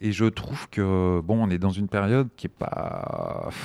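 Against a silent background in a very clean recording, a man talks at fairly low pitch with ordinary pitch variation. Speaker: film screening organizer, association founder. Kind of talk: interview. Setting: library recording room, masked. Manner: halting.

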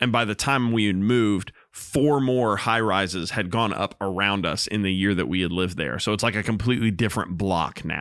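In a normal speaking voice, a man talks at a fairly quick pace with hardly any pauses, his pitch fairly low with ordinary variation, on a very clean recording with a silent background. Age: 30s. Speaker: church worship minister and music educator. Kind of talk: casual podcast chat.

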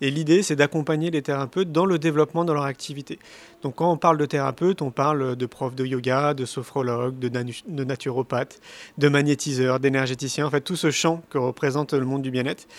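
At a fairly quick pace, a man with a fairly high pitch talks in fairly even intonation, the sound dry and close with no echo. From Paris, France. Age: 40s. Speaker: speaker and documentary filmmaker. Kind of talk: interview. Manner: hesitant with fillers.

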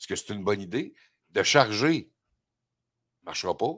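A man with a Quebec accent talks at a moderate pace in a fairly low pitch, with very wide pitch swings, in a very clean recording with a silent background. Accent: Québécois French. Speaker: radio host. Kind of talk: casual chat.

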